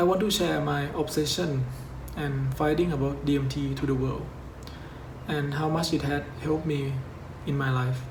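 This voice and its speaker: A man's moderate-paced speech carries audible room echo along with noticeable background noise. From Thailand. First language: Thai. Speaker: YouTuber. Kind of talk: scripted narration.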